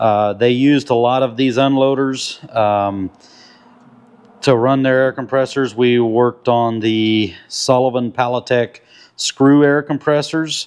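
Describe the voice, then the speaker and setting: Fairly even intonation and very even loudness mark this voice. The speaker has an American accent and a fairly slow pace. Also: man, medium pitch for a man. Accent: Amish accent, slight. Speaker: diesel mechanic, repair channel host. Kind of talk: casual talk to camera.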